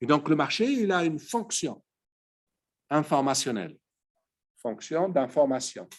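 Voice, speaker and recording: Fairly high in pitch and fairly slow in pace, a man talks with very wide pitch swings. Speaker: economics lecturer. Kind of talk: lecture.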